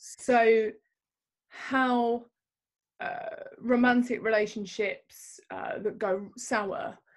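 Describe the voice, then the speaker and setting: A woman with music in the background. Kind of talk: interview answer. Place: home room. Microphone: video call.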